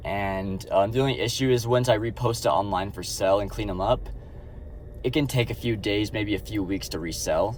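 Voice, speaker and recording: There is audible room echo around a man whose fairly low voice moves through ordinary pitch variation. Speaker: vlogger, side-hustle reseller. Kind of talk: casual vlog monologue. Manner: fast; casual, filler-heavy.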